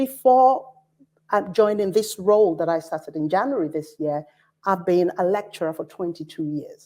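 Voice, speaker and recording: Lively intonation runs through the speech. The voice has a dark, mellow tone. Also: woman, medium pitch for a woman, moderate pace. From Nigeria. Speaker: university academic director. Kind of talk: conference panel talk.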